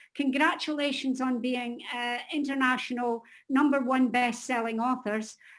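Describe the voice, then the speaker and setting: A woman speaks at a high pitch and a moderate pace, with fairly even intonation. The recording is very clean, with a silent background. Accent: Scottish. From Scotland. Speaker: editor and publisher. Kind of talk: casual group video chat introduction.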